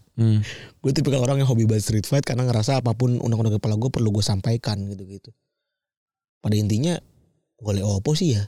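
Very fast in pace, a man speaks at a medium pitch with ordinary pitch variation. His tone is dark and mellow and somewhat breathy. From Tambun, Bekasi (West Java, near Jakarta). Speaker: podcast co-host. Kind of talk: casual chat.

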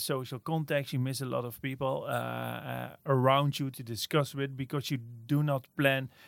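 In a very clean recording with a silent background, a man with a Dutch accent speaks at a fairly high pitch with fairly even intonation. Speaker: innovation agency director. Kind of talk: interview. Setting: office. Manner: halting, many fillers and repeats.

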